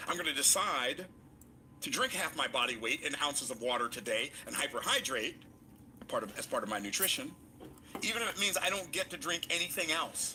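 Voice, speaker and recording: Amid noticeable background noise, a man talks at a fairly quick pace in an animated tone. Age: 60s. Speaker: motivational speaker. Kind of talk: motivational talk.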